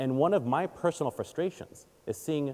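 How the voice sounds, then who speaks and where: Here a man talks at a moderate pace with an Israeli accent. His tone is dark and mellow. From Israel, then Baltimore, Maryland from age eight. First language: Hebrew. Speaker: communications advisor and conference speaker. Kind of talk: audience Q&A; keynote talk. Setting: stage with audience. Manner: animated.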